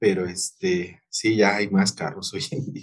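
A man speaks with a somewhat breathy voice and very wide pitch swings. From Mexico City, Iztapalapa. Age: 40s. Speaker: general surgeon. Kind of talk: interview.

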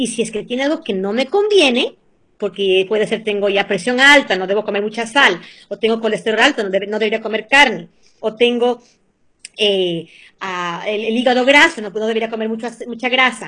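With a bright, sharp tone, a woman speaks at a moderate pace, her fairly high pitch showing ordinary variation. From Ecuador, Venezuela and the US. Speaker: cooking and nutrition guest. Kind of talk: casual interview chat with cooking tips.

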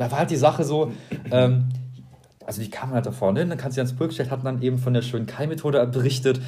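With music in the background and audible room echo, a man speaks at a very fast pace in a medium pitch, using fairly even intonation and long, frequent pauses. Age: 20s. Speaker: podcast co-host, student. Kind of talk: casual chat.

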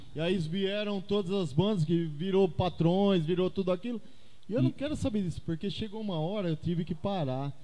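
A high-pitched man with a dark, mellow tone speaks with ordinary pitch variation. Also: moderate pace. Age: 50s. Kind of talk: casual chat.

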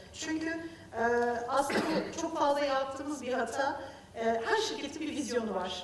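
A woman's high voice at a moderate pace, with ordinary pitch variation, noticeable background noise and audible room echo. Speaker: quality director, engineer. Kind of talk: panel discussion.

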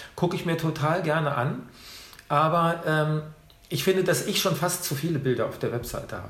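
Background noise is noticeable here. The speaking pace stays moderate. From Hannover, northern Germany. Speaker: food photographer and former chef. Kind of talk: interview. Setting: in person, sitting across from host. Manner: hesitant, many fillers.

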